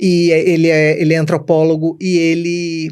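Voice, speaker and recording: A woman speaks with a northeastern Brazilian accent at a fairly low pitch. Her intonation is monotone and flat. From Brazilian Northeast, Recife. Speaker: customer experience speaker and co-author. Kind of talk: podcast interview. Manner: talkative.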